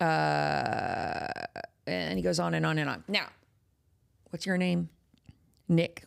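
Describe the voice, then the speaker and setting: A woman speaks with a Texan accent at a very slow pace. She leaves long, frequent pauses. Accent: Texas accent, a little thicker. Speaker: horror podcast host. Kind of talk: casual chat. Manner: animated.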